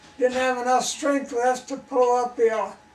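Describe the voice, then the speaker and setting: Over noticeable background noise, a man with an extremely high pitch speaks at a fairly slow pace. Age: 80s+. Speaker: farmer. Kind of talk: storytelling.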